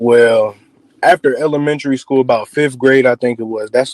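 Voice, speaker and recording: A man speaks in a medium pitch. His pace is fairly quick. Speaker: singer and rapper. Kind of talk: interview. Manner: casual.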